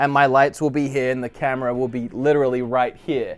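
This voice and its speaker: In an Australian accent, a man delivers his words fairly quickly. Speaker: gaming YouTuber. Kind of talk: casual room tour vlog. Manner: casual, chatty.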